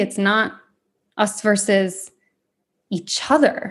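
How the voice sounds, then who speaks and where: This woman speaks with an American accent. Her voice is fairly high and somewhat breathy. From Michigan, US. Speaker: podcast host. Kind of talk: personal monologue.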